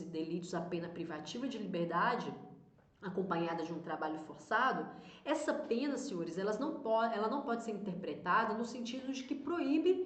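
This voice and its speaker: An animated voice with very wide pitch swings comes through audible room echo and noticeable background noise. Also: woman. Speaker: exam prep law teacher. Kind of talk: online lecture.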